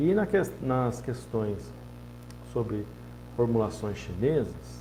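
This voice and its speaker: Audible room echo hangs around this man's voice. His delivery is fairly slow. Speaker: acupuncturist and Chinese medicine teacher. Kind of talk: informal lecture. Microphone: poorly positioned microphone.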